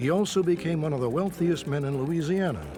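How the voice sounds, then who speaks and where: With music in the background, a man with a fairly high pitch talks at a fairly quick pace and ordinary pitch variation. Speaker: documentary narrator. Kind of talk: documentary narration. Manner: authoritative.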